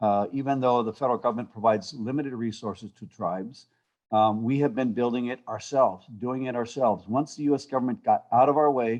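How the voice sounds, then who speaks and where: A man talks in a plain, everyday voice at medium pitch with ordinary pitch variation. His pace is fairly quick, and the background is quiet. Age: 60s. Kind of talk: panel discussion.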